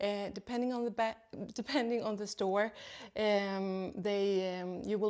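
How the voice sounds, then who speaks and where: Spoken at a moderate pace with a non-native accent, the recording is very clean with a silent background. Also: woman. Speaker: second-hand luxury video host. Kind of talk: tutorial. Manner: hesitant, many fillers.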